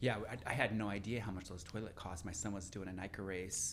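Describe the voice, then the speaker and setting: Audible room echo surrounds a man who talks at a fairly quick pace with a fairly low pitch and fairly even intonation. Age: 40s. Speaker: podcast host and cyclist. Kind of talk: podcast interview.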